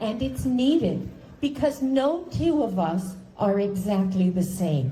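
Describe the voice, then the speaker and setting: Audible room echo surrounds a woman with a medium-pitched, somewhat breathy voice. She speaks very slowly, her pitch swinging very widely. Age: 70s. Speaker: cancer patient speaker. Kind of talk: speech. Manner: formal.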